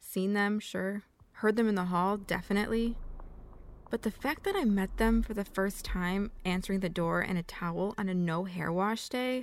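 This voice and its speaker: At a moderate pace, a woman speaks in an unremarkable speaking voice at medium pitch with fairly even intonation, on a very clean recording with a silent background. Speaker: student storyteller. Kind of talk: scripted narration.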